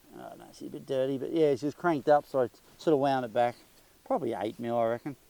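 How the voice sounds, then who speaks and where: A man with an Australian accent, a very fast pace, a dark, mellow tone, medium pitch and fairly even intonation. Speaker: motorcycle vlogger. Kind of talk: casual product review. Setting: shed. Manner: hesitant, many fillers.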